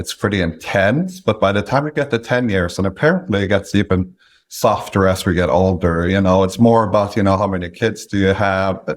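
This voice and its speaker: This man speaks with a Norwegian accent at a fairly low pitch. His pace is moderate, and the recording is very clean with a silent background. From Norway. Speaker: independent sponsor, business acquirer. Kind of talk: interview.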